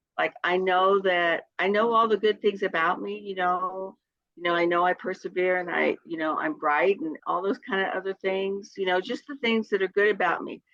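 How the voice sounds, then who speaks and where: A woman speaks at a moderate pace and a medium pitch, with ordinary pitch variation. It is a plain, everyday voice, recorded with a dry, close sound and no echo. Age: 60s. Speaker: direct sales consultant. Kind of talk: casual chat.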